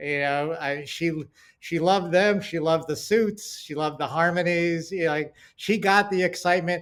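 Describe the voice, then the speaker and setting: The pace is moderate. Intonation stays fairly even. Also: man, high pitch for a man. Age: 60s. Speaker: television writer and producer. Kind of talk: casual interview chat. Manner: halting, many fillers.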